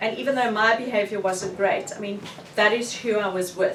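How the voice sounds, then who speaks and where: Noticeable background noise and audible room echo surround this recording. A woman with a South African accent talks with ordinary pitch variation. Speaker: author. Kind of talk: book launch talk, answering audience questions.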